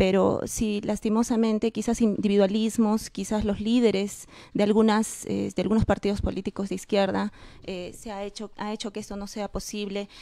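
Against a quiet background, a woman with a dark, mellow tone speaks in a monotone, flat intonation, her loudness swinging widely in a dry sound with no echo. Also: moderate pace. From Peru. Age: 30s. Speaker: political candidate; candidate. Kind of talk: election debate. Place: studio. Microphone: handheld.

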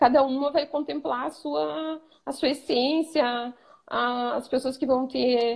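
Against a quiet background, a woman with a southern Brazilian accent speaks at a high pitch with ordinary pitch variation. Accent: gaúcho Brazilian Portuguese. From Rio Grande do Sul, Brazil. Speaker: image consultant student. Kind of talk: live stream interview.

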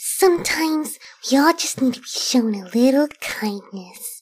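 A put-on character voice that sounds female. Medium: voice reel. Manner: soft-spoken, shy.

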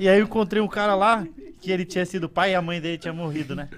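The man's voice carries ordinary pitch variation. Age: 30s. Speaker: comedian. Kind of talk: casual chat.

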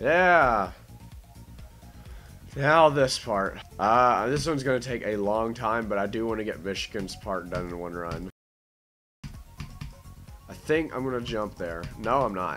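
Music plays in the background as a man speaks at a medium pitch with lively intonation. His pace is fairly slow, with long, frequent pauses. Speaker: gamer. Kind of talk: gameplay commentary. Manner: casual.

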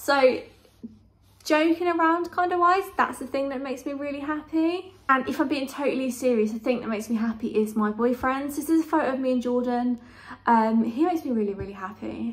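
Speaking with a southern English accent, a woman has a high voice. Her pace is fairly quick. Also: ordinary pitch variation. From southern England, Kent; southern England. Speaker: YouTuber; vlogger. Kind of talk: casual vlog monologue. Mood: warm, cheerful. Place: home room. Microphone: phone near.

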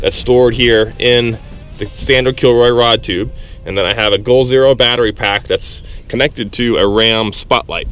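A man speaks at a moderate pace with fairly even intonation. The sound is dry with no echo, and faint music plays in the background. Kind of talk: tutorial. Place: waterside. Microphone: phone near.

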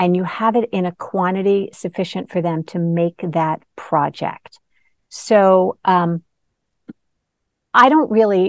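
In a quiet background, a woman speaks at a very slow pace with long, frequent pauses. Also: ordinary pitch variation, dry sound with no echo. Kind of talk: interview answer. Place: shop. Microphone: lapel.

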